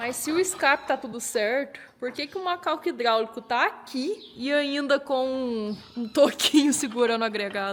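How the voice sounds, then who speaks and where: A woman raises and projects her high-pitched voice with lively intonation over noticeable background noise. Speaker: car restoration youtuber. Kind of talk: casual workshop vlog.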